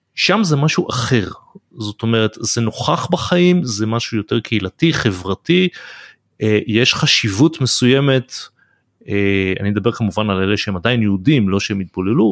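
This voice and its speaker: A man with a plain, everyday voice speaks at a medium pitch and a fairly slow pace with lively intonation. The sound is dry and close with no echo, in a very clean recording with a silent background. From Israel. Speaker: podcast host. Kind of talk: interview.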